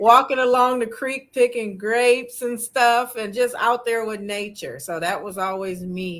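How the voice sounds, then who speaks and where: A woman's fairly slow, fairly high-pitched speech with ordinary pitch variation, big swings in loudness and hardly any pauses. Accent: American. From Michigan, Grand Rapids. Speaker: author and youth advocate. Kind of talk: interview. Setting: livestream. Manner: halting.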